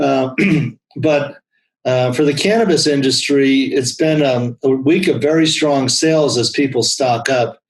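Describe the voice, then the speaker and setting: A man speaks at a fairly slow pace in a normal speaking voice, his pitch fairly high. His loudness stays very even, with ordinary pitch variation. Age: 60s. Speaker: accountant. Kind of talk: interview.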